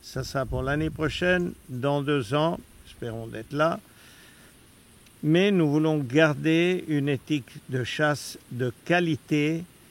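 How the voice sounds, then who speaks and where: A man at a fairly high pitch, ordinary pitch variation and a very slow pace. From Austria. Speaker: hunting client. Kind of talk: casual recap interview.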